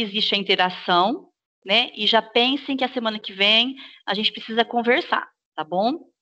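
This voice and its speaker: In a bright, sharp tone, a woman talks at a moderate pace with ordinary pitch variation against a quiet background. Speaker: teacher trainer. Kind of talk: online staff training session. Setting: video call.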